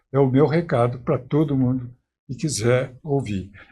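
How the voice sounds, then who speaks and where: The recording is very clean with a silent background, carrying a man's somewhat breathy voice with a dark, mellow tone. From Minas Gerais, Brazil. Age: 90s. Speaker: historian and teacher. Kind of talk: interview.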